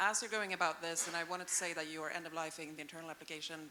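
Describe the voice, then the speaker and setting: Delivered at a very fast pace with a Swedish accent, the speech keeps a fairly even intonation. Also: woman. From Sweden. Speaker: audience member. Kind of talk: audience question.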